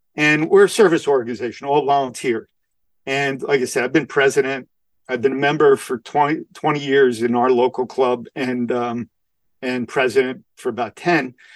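With a New York accent, a man talks in fairly even intonation, the sound dry and close with no echo. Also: medium pitch for a man, moderate pace. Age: 60s. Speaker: community service club president. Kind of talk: interview. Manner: halting, with many fillers.

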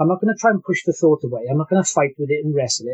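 The man's voice comes across as somewhat breathy. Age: 50s. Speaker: employment specialist and keto dieter. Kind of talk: interview. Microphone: poor sound quality.

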